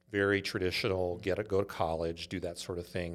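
A man with a Californian accent, fairly low in pitch and fairly quick in pace. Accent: Californian American. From US West Coast, Los Angeles (Inglewood). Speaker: startup CEO. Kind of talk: interview.

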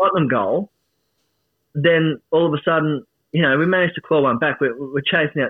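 Moderate pace, with an Australian accent. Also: man. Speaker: football fan. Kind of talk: casual chat. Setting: studio. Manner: animated.

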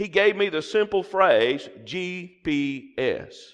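Here a man speaks with a Southern US accent in an animated tone. The background is quiet. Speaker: guest preacher. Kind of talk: sermon. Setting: church with congregation.

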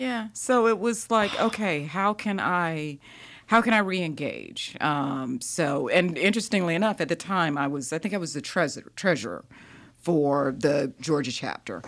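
Speaking at a moderate pace, a woman with a fairly low pitch uses lively intonation on a very clean recording with a silent background. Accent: Southern US. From US South. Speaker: grant professional. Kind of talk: casual interview. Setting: studio.

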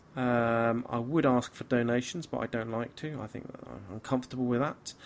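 A man speaks with a British accent at a moderate pace, his medium pitch showing ordinary variation. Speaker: podcast host. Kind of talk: casual chat. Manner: slurring.

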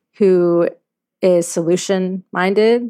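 A woman speaks with a slight Southern US accent at a fairly low pitch. Her intonation stays fairly even. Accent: little Southern. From US South, Louisiana. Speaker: CEO. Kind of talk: interview. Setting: remote call.

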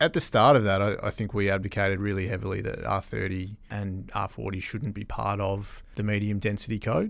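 On a very clean recording with a silent background, a man with a fairly low pitch and vocal fry talks fairly quickly, with fairly even intonation and hardly any pauses. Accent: Australian. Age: 40s. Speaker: construction industry association executive. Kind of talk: interview. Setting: studio.

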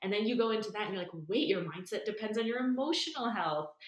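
Talking very fast, a woman with an American accent uses lively intonation and a fairly high pitch. Noticeable background noise is present. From New York. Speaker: nervous system and breathwork coach. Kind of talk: casual interview.

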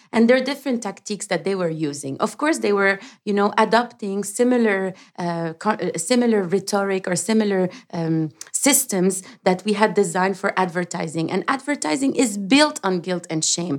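Over a very clean recording with a silent background, a woman with an unremarkable speaking voice talks at medium pitch and moderate pace with lively intonation. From Lebanon, raised partly in Canada. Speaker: sustainability advocate and founder. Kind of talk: interview.

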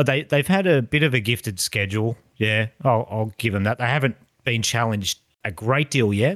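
In a very clean recording with a silent background, a man with an Australian accent speaks at medium pitch and a moderate pace, with ordinary pitch variation. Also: dry, close sound with no echo. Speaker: podcast host. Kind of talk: casual chat.

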